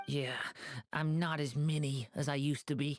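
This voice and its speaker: A put-on character voice at a low-to-middle pitch with monotone, flat intonation. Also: moderate pace. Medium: video game. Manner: polite, earnest.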